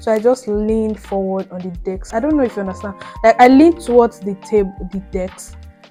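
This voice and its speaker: Over music in the background, a woman with a fairly high pitch speaks at a moderate pace. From Nigeria (Benue state). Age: 20s. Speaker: YouTuber. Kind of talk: casual storytime talk to camera while doing makeup.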